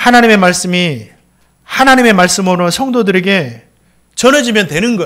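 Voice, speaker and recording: A man's high-pitched voice, bright and sharp in tone, moves at a moderate pace with lively intonation while the room echo is audible. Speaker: pastor. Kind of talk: sermon. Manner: halting, self-described as clumsy.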